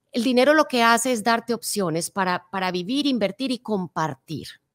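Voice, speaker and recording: Over a quiet background, a woman speaks at a moderate pace with ordinary pitch variation, the sound dry with no echo. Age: 50s. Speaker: motivational speaker. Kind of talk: interview. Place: studio. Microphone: studio mic.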